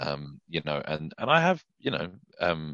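Very deep and low in pitch, a man talks with a British accent. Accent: UK. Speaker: country singer-songwriter. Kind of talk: casual interview chat.

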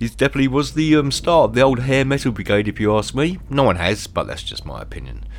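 A man talks at a fairly quick pace in an animated, playful tone. Noticeable background noise sits behind him. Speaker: radio DJ. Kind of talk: radio DJ patter introducing rock tracks, with comic banter. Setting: radio studio. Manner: chatty, animated and jokey, with a playful tone.

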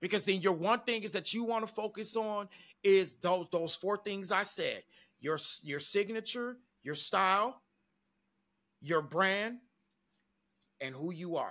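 A fairly slow, energetic delivery with an American accent, long and frequent pauses, and a very clean recording over a silent background. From Detroit, Michigan. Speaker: podcast co-host and musician. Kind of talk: casual podcast chat. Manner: extroverted, energetic.

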